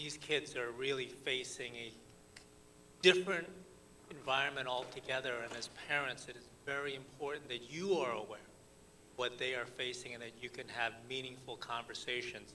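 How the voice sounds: Speaking at a moderate pace, a man with a medium pitch uses fairly even intonation and a bright, sharp tone.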